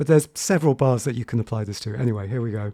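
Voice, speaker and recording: In a very clean recording with a silent background, a man speaks very fast in a dark, mellow tone with ordinary pitch variation. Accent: English. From England. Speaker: piano teacher. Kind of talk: tutorial. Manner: halting.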